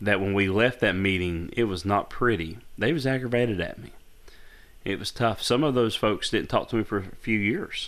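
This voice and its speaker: A man with a fairly low pitch and ordinary pitch variation talks at a fairly quick pace in an ordinary speaking voice. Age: 40s. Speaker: pastor and podcast co-host. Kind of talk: casual chat.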